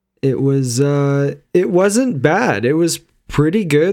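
Speaking at a fairly slow pace, a man has a fairly high pitch, a dark, mellow tone and ordinary pitch variation. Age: 30s. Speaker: podcast co-host. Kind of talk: casual chat.

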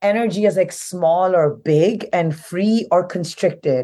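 A woman talks at a fairly slow pace in a dark, mellow tone. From India, Delhi. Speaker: theatre artist. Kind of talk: casual chat. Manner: halting.

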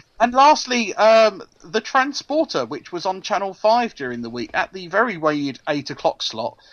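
A man speaks in a high voice at a moderate pace, his pitch swinging very widely. His loudness rises and falls sharply, with hardly any pauses. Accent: English. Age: 40s. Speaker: podcast co-host. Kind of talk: casual chat.

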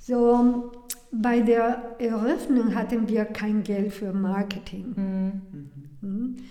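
A woman with a Spanish accent speaks very slowly with fairly even intonation. Noticeable background noise and audible room echo fill the recording. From Mexico. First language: Spanish (speaking German). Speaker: restaurant founder and chef. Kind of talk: interview. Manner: halting.

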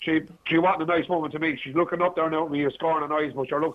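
A man with an Irish accent talks at a very fast pace. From Ireland, outside Dublin. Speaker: caller. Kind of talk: radio phone-in discussion. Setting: phone call.

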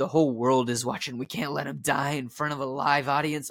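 A man puts on a raspy character voice pitched fairly high. He talks at a fairly quick pace.

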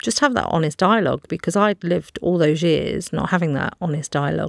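A woman speaks at a fairly quick pace in a fairly low pitch, with vocal fry and ordinary pitch variation. The recording is very clean with a silent background and a dry, close sound with no echo. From England, Leicester. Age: 40s. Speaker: TV programme contributor. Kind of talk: interview.

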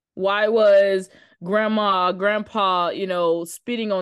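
A woman with an American accent has an unremarkable speaking voice, medium in pitch with ordinary pitch variation, against a quiet background. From South Carolina, small town. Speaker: actress. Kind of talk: casual interview.

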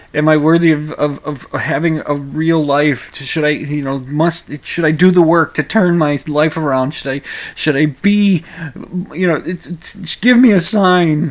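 This man has a fairly high pitch, a fairly slow pace and ordinary pitch variation. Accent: American. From Minnesota. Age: 50s. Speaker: podcast talk show host. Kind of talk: solo talk-radio monologue, casual and rambling; radio DJ patter, station ID and break outro in upbeat announcer style. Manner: hesitant, full of uh and repeated words; chuckling, jovial, punchy sign-off delivery.

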